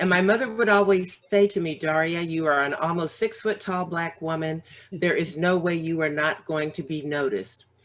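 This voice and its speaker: Noticeable background noise sits behind a woman's fairly low voice. She talks at a moderate pace with ordinary pitch variation and hardly any pauses. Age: 60s. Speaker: author and business owner. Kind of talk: casual chat.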